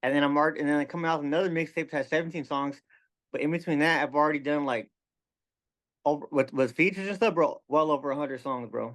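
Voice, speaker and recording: Mumbling at a very fast pace, a man speaks at a fairly high pitch with fairly even intonation over a quiet background. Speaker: rapper. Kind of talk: casual interview chat. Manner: careful enunciation.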